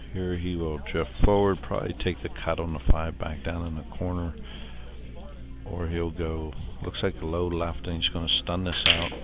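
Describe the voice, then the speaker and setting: Over music in the background, a soft-spoken man with a very deep, low pitch and ordinary pitch variation talks at a moderate pace. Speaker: pool commentator. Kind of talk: live commentary. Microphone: too quiet.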